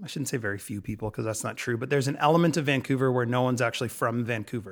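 He has a normal speaking voice, medium in pitch, with ordinary pitch variation. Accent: Canadian. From Ontario, Canada (London, Ontario). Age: 40s. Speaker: business co-founder. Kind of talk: casual interview.

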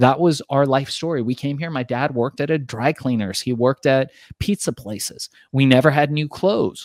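Speaking at a moderate speed, a man with an unremarkable speaking voice stays at a medium pitch that varies in an ordinary way. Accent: American. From Iran, raised in the US from childhood. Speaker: entrepreneur and author. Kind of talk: interview.

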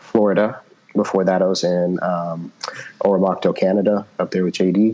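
Noticeable background noise sits behind a man's very deep, low voice. He speaks with monotone, flat intonation. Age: 40s. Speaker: jiu jitsu instructor. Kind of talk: interview. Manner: halting, many fillers.

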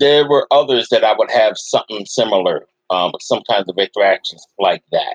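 A man speaks at a moderate pace. He hardly pauses at all. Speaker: anti-fascist activist. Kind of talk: casual interview. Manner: hesitant, filler-heavy.

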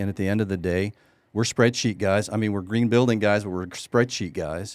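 Against a silent background in a very clean recording, a man with a fairly low pitch uses a normal speaking voice, talking at a fairly quick pace with fairly even intonation. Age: 60s. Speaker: real estate developer. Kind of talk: casual chat. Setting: studio.

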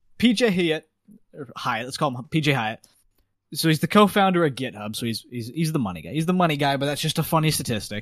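Speaking with a Canadian accent, a man talks at a very fast pace. His pitch is fairly high and his intonation lively. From Canada. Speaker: guest, race marshal. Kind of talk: casual chat.

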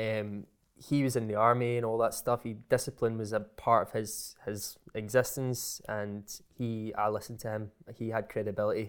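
Flat, monotone speech from a man with a Scottish accent at a moderate pace, on a very clean recording with a silent background. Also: medium pitch for a man. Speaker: content creator. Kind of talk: casual chat.

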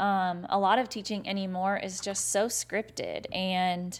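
This is an ordinary speaking voice in an American accent, at a fairly slow pace. The recording is very clean, with a silent background. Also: woman. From Indiana. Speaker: podcast host, former teacher turned business coach. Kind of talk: solo podcast monologue. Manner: casual, upbeat with fillers.

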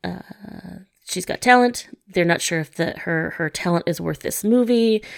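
A woman talks in an unremarkable speaking voice at a fairly slow pace. Her medium pitch shows ordinary variation. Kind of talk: casual chat about movies.

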